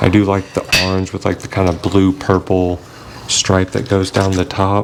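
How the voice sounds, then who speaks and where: A man's very deep, low voice with a slight Southern US accent, flat monotone intonation and a moderate pace, over noticeable background noise. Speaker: fishing youtuber. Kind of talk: product review tutorial. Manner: casual, hesitant with fillers.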